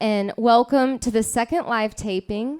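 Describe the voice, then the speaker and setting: A woman in a normal speaking voice at a moderate pace, with ordinary pitch variation, recorded very cleanly against a silent background with a dry, close sound and no echo. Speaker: radio show host. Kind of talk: live radio show host interview. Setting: live venue, coffee house.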